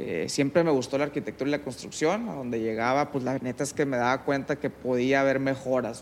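A man with an ordinary speaking voice talks at a fairly quick pace with hardly any pauses, his medium-pitched delivery fairly even in intonation. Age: 30s. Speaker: construction company manager. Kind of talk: interview conversation. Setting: at his home.

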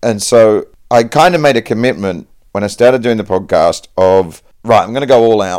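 A man with an Australian accent, medium pitch, ordinary pitch variation and a moderate pace. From Perth, Western Australia. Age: 40s. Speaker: stand-up comedian. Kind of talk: casual chat.

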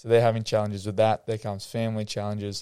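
A man with an Australian accent speaks at a fairly low pitch. The sound is dry and close with no echo, and the recording is very clean with a silent background. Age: young. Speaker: former footballer turned mental health coach. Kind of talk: casual interview chat.

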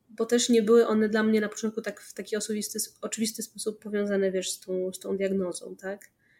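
This woman's voice sits fairly high. Her intonation stays flat and monotone. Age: 30s. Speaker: PR and communications specialist in gaming industry. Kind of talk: casual interview. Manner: halting.

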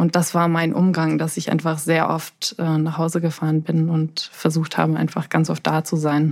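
Hardly any pauses interrupt this woman's very deep, low voice. Her intonation is monotone and flat, and her loudness stays very even. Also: moderate pace. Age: 20s. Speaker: pharmacist and bereaved relative. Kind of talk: interview.

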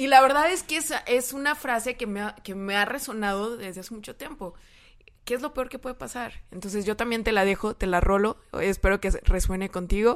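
A woman with an ordinary speaking voice talks at a fairly quick pace and a fairly high pitch. Her intonation is lively, and her loudness swings a lot. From San Luis Potosí, Mexico. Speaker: nutritionist and social media influencer. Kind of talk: casual chat.

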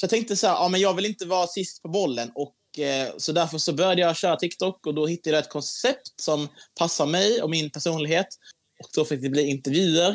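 Here a man talks at a fairly quick pace with ordinary pitch variation. His pitch sits high for a man. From Skåne, Sweden. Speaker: TikTok creator. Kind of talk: casual interview chat.

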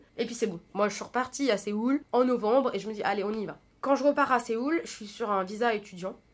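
A woman in an unremarkable speaking voice, fairly high-pitched and fairly quick, with ordinary pitch variation and big swings in loudness. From France, Paris region. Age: 20s. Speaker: podcast host. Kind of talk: solo personal monologue. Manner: casual, chatty.

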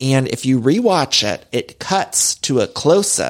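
In a plain, everyday voice, a man with an American accent talks at a fairly slow pace, his fairly high pitch rising and falling in lively intonation. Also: very clean recording, silent background. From US Midwest. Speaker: podcast host. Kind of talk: casual chat.

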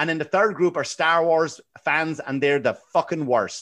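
A man speaks with a Wexford Irish accent at a fairly high pitch. His pitch varies in an ordinary way over a quiet background. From Ireland, Wexford. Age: 40s. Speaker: comedian. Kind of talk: casual chat.

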